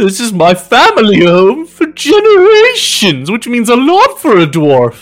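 Putting on a character voice, a man speaks fairly slowly at an extremely high pitch with hardly any pauses. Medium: actual play. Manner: proud, slightly flustered.

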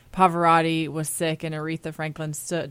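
A woman with an ordinary speaking voice and a fairly low pitch talks at a moderate pace. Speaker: podcast co-host. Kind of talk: interview and narration.

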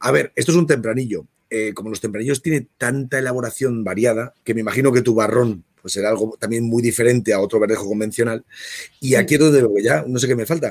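A man talks at a very fast pace with ordinary pitch variation, and the sound is dry and close with no echo. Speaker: wine tasting host. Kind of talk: casual wine tasting chat.

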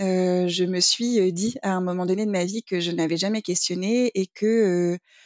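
Heard in a dry, close sound with no echo, a woman speaks at a medium pitch with fairly even intonation. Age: 30s. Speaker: single mother by choice. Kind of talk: interview. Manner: hesitant, with filler sounds.

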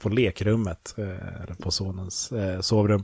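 Very slowly, a man talks in a fairly low pitch with a dark, mellow, somewhat breathy tone and fairly even intonation. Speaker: podcast co-host. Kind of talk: casual chat. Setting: at home in son's bedroom.

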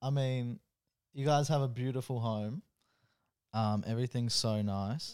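Speaking with an Australian accent, a man uses a medium pitch and ordinary pitch variation at a fairly slow pace with long, frequent pauses. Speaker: host's boyfriend. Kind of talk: casual chat.

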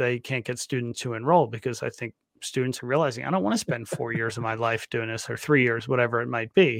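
Against a quiet background, a man uses a normal speaking voice at a medium pitch, recorded with a dry, close sound and no echo. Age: 50s. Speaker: podcast host. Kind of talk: podcast interview.

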